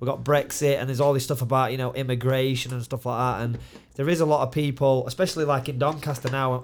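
A man races along at a very fast pace in a Yorkshire accent. His intonation is flat and monotone. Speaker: mixed martial arts fighter and coach. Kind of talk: casual chat.

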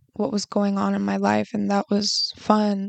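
A woman speaks against a quiet background. The sound is dry and close, with no echo. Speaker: podcast host. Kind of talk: personal monologue. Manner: monotone; halting.

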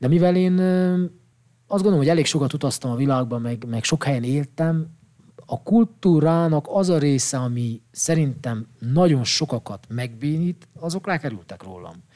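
A man talks at a moderate pace in a normal speaking voice with fairly high pitch and lively intonation. The recording is very clean, with a silent background. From Székely Land, Romania (Csíkmadaras). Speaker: psychologist and photographer. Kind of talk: casual chat. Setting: studio.

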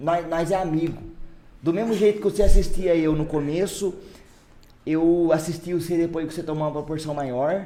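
A man's high voice at a moderate pace, with fairly even intonation and long, frequent pauses. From Brazil, São Luís do Paraitinga (São Paulo interior). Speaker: podcast host, musician. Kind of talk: casual chat.

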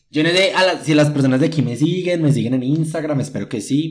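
This voice has a Paisa Colombian accent and an animated tone. It moves at a moderate pace with ordinary pitch variation. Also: man. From Colombia, Medellín. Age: 20s. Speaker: podcast host. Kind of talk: casual solo monologue. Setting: at home.

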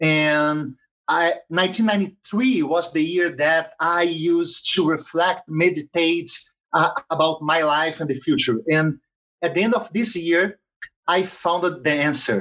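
Speaking very slowly with a Portuguese accent, a man uses a high, bright, sharp voice at very even loudness. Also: ordinary pitch variation. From Brazil, Rio de Janeiro. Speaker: social entrepreneur. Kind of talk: interview. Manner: halting, many fillers.

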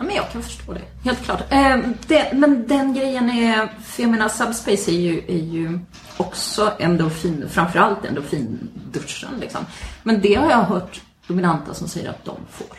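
Amid noticeable background noise and audible room echo, a woman at medium pitch speaks with lively intonation and big swings in loudness. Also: moderate pace. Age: 40s. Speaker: podcast co-host. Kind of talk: casual chat. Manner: halting.

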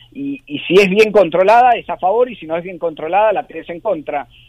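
Lively intonation and a high pitch mark this man's speech. He moves at a fairly quick pace, with big swings in loudness. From Argentina. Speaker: rugby sevens coach. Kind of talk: interview.

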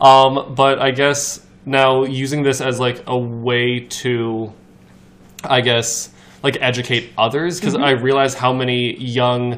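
A man's medium-pitched voice, very slow and fairly even in intonation. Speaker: podcast guest. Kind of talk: casual chat.

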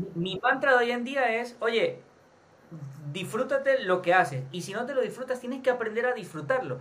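Extremely high-pitched for a man, his voice moves with lively intonation. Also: moderate pace. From Venezuela. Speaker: podcast host. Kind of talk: interview.

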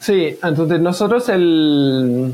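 This man speaks with a fairly high pitch. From France. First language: French (speaking Spanish). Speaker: privacy software developer. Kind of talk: casual interview. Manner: hesitant, many fillers.

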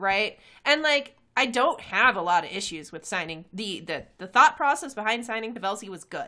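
A woman with a fairly high pitch talks at a moderate pace, her pitch swinging very widely and her loudness rising and falling sharply. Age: 30s. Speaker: sports podcast co-host. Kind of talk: casual chat.

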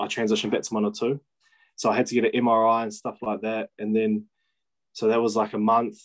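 In a New Zealand accent, a man of medium pitch speaks at a fairly quick pace with monotone, flat intonation over a quiet background. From New Zealand, Kapiti Coast. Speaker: professional rugby player. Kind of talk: casual chat.

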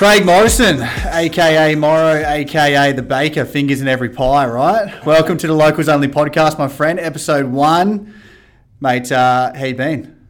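An Australian accent from a man with a fairly high voice, ordinary pitch variation and a moderate pace. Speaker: podcast host. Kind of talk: casual chat.

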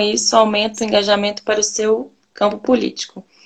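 A woman speaks in an ordinary speaking voice at medium pitch. Her intonation is fairly even, and her pace is moderate. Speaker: live-stream host. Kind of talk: online live interview. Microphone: echo on her audio.

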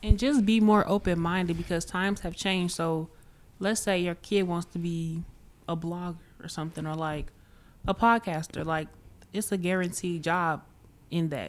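The speech moves at a moderate pace with long, frequent pauses and fairly even intonation. The recording is very clean, with a silent background. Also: woman, fairly low pitch for a woman. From Chicago. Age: 18. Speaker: college student. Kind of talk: casual chat.

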